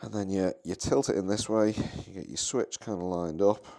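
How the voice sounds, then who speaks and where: A man with a British accent and a fairly low pitch talks at a moderate pace. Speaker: maker and seller of 3D-printed device cases. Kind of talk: product demo tutorial. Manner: halting, full of fillers and false starts; casual, informal.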